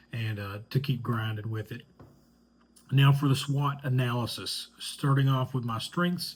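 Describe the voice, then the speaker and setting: In a somewhat breathy voice, a man talks at a moderate pace with medium pitch and fairly even intonation. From Eastern Kentucky, Hazard (Appalachian mountains). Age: 30s. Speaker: student and communications professional. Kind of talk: class introduction video. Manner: hesitant, many fillers and repetitions.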